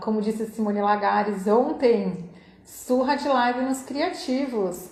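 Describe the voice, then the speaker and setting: A woman speaks at a very slow pace, her pitch fairly high with ordinary pitch variation. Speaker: artist. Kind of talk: live online interview, host.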